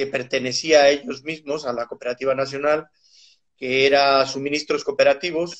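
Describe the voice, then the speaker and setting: A man's fairly high voice with a Mexican accent and monotone, flat intonation. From Mexico City. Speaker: animal nutrition scientist. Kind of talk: interview.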